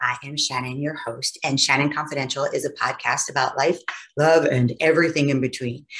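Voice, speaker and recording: Very deep and low in pitch, a woman talks at a very fast pace. The background is quiet. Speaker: podcast host. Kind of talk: podcast intro to camera. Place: home room.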